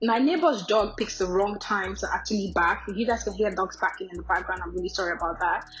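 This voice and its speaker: Over noticeable background noise, a woman talks very fast with hardly any pauses. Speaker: beauty vlogger. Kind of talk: tutorial voiceover. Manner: casual, chatty.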